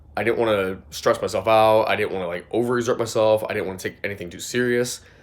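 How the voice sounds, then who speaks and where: A man rattles along at a very fast pace and medium pitch, with noticeable background noise behind him. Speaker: skateboarding vlogger. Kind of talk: casual vlog talk to camera. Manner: casual, filler-heavy.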